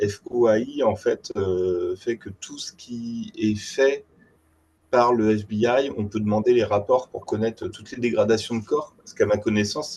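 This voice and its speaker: The voice has a dark, mellow tone and big swings in loudness. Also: man. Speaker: webinar participant. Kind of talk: webinar participant remarks. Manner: halting.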